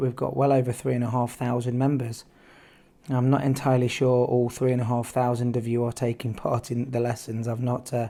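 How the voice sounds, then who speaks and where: The voice, with a British accent, has a dark, mellow tone and monotone, flat intonation. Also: man. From UK. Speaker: art teacher. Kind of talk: tutorial. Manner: casual, hesitant with fillers.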